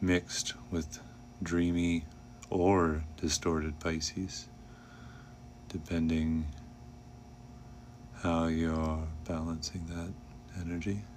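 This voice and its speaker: A man's very deep, low voice, soft-spoken, at a very slow pace with long, frequent pauses. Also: fairly even intonation. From Canada. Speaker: vlogger and streamer. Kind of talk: casual livestream monologue. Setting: home livestream, lights down. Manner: soft-spoken, kept low.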